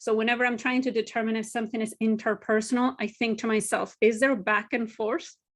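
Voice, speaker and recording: A woman with a Spanish accent, a fairly high pitch, a fairly quick pace and monotone, flat intonation against a quiet background. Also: hardly any pauses. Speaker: university language educator. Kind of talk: webinar lecture. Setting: online webinar.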